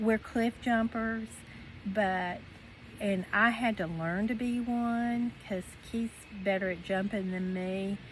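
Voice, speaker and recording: Her voice is somewhat breathy, medium in pitch, with fairly even intonation. The woman speaks at a very slow pace with long, frequent pauses. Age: 60s. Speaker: retiree vlogger. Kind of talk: casual chat. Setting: outdoors. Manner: halting.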